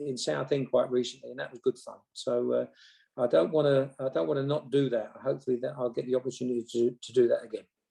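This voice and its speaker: Speaking at a fairly quick pace, a man has an English accent. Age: 60s. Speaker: former football manager. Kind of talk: interview. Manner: halting.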